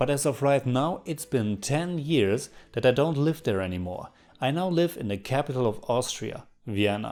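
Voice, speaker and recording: A man at a moderate pace, fairly high in pitch with very wide pitch swings, on a very clean recording with a silent background. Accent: strong German. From Germany, North Rhine-Westphalia. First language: German. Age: 30s. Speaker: film reviewer YouTuber. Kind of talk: Q&A video monologue.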